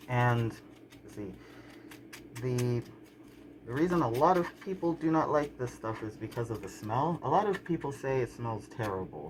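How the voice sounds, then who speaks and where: A man with an American accent, medium-pitched, at a moderate pace, with lively intonation, big swings in loudness, long, frequent pauses and noticeable background noise. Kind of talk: casual talk to camera. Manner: relaxed, hesitant with frequent fillers.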